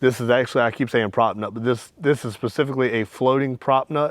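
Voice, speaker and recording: At a fairly quick pace, a man talks with a medium pitch. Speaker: outdoors video creator. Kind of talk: tutorial. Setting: outdoors. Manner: fast; casual, animated.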